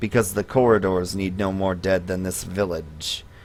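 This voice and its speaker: A man's raspy, very deep put-on character voice at a fairly slow pace, in a very clean recording with a silent background. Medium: actual play. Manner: mumbling, repetitive, wheedling.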